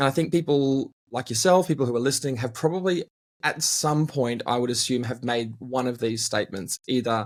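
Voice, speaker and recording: With an Australian accent, a man talks at a fairly quick pace. His pitch is medium and varies in an ordinary way. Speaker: team culture consultant and speaker. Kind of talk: interview conversation.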